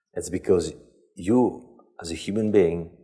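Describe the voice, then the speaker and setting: A man is speaking. He has a non-native accent. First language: not English. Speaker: lecturer on leadership ethics. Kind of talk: lecture. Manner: relaxed.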